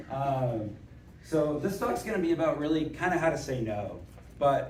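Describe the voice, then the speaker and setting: A man speaks with lively intonation. Room echo is audible, along with noticeable background noise. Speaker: conference speaker, operations consultant. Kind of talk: conference talk. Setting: stage with audience. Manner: loud, yells at times; casual, joking.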